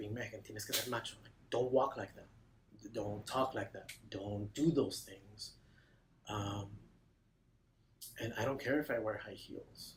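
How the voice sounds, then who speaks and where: A man speaks in a somewhat breathy voice, leaving long, frequent pauses. His loudness swings widely. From Mexico. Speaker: counseling client. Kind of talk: testimony.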